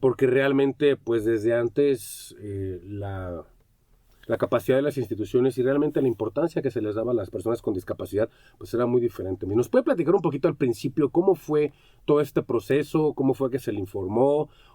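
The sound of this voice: A man talks at a moderate pace with a medium pitch. His tone is dark and mellow, his intonation lively.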